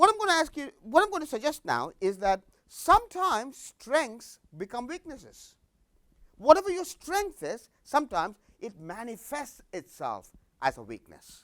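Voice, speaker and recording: A man speaks at a moderate pace in an animated tone, his voice extremely high-pitched, bright and sharp. His pitch swings very widely and his loudness shifts a lot. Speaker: business executive and lecturer. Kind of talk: lecture.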